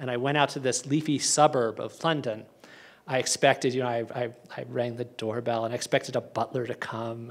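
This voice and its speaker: With an American accent, a man in a plain, everyday voice talks at a fairly quick pace in a medium pitch. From USA. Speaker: history professor. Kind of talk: lecture.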